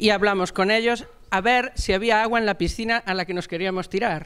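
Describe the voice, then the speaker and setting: The man's speech moves at a fairly quick pace. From Galicia, A Coruña; Galicia. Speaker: municipal platform organizer; speaker. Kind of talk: panel talk. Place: classroom. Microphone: handheld.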